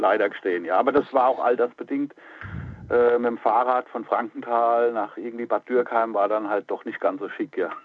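An unremarkable speaking voice, this man talks at a moderate pace in a medium pitch with fairly even intonation. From Palatinate, Germany. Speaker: metal musician and music journalist. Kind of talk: casual interview chat.

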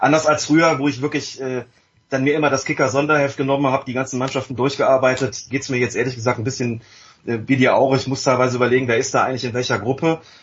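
A man talks at a very fast pace in a medium pitch, his voice somewhat breathy and his intonation monotone and flat. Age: 50s. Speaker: journalist and author. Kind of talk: casual chat.

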